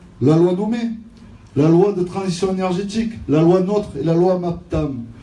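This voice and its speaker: A man talks at a fairly slow pace, his pitch high and his tone dark and mellow. Audible room echo surrounds his voice. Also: ordinary pitch variation. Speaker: trade union representative. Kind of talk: rally speech.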